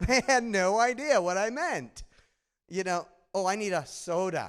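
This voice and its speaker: A man in a Midwestern accent with lively intonation at a very slow pace, on a very clean recording with a silent background. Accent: nasal Midwestern. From Michigan, US Midwest. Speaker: conference speaker, data analytics leader. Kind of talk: conference presentation. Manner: conversational, engaging.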